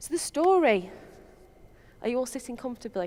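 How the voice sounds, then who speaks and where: A woman talks at a high pitch in a strong Lancashire accent. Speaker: software developer. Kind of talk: conference talk. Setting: stage with audience. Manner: casual, with frequent fillers.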